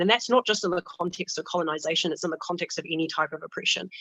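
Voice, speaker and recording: A woman speaks at a very fast pace in a bright, sharp tone with a fairly low pitch. The sound is dry and close, with no echo. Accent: New Zealand. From New Zealand. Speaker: student union president. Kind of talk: panel discussion.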